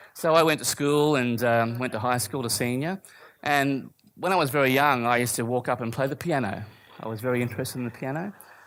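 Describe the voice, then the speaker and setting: A man's medium-pitched voice with an Australian accent, a fairly quick pace and ordinary pitch variation, on a very clean recording with a silent background. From Australia, Brisbane. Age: 50s. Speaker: church speaker, former musician. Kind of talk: testimony.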